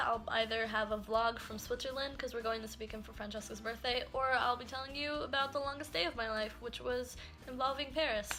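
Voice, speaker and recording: Over noticeable background noise, a high-pitched woman talks at a fairly quick pace with ordinary pitch variation. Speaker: YouTuber. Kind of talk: storytime vlog; bloopers. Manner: animated; fast.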